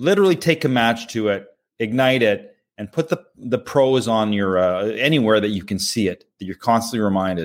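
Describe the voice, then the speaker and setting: On a very clean recording with a silent background, a man talks at a moderate pace in a plain, everyday voice. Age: 50s. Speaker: podcast co-host. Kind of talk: casual chat.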